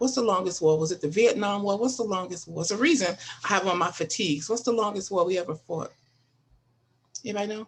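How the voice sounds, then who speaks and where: A woman talks at a very fast pace in a somewhat breathy voice. Her pitch is medium, with ordinary variation. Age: 60s. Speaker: panelist, welfare trainer. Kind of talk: podcast panel discussion. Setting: live stream.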